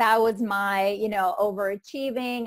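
In a quiet, dry setting with no echo, a woman with an Icelandic accent speaks at a moderate pace with fairly even intonation. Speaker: trauma recovery coach. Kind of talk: interview. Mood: warm, reflective, earnest. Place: home room. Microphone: earbuds.

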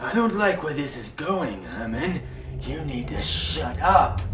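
Speech at a fairly slow pace comes through clear background noise and a slight echo. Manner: mocking, gleeful, menacing.

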